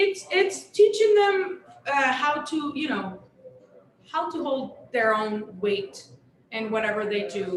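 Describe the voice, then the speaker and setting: The speaker has a Mexican accent and very wide pitch swings. Room echo is audible. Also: woman. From Sonora, Mexico. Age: 40s. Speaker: chef. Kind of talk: live panel conversation.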